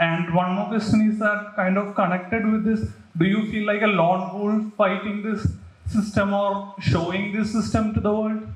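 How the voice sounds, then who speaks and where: There is audible room echo around a man with a high pitch. He speaks in a monotone, flat intonation. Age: 20s. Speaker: audience member. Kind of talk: audience question.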